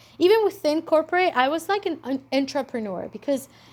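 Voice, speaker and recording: A woman with a non-native accent and lively intonation. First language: not English. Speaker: entrepreneur and vlogger. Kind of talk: casual monologue vlog. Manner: animated, with many fillers and restarts.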